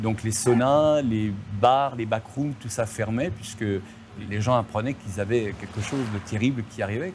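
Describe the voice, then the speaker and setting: Speaking at a fairly slow pace, a man's voice sits at a medium pitch. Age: 60s. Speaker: person living with HIV. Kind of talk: documentary interview.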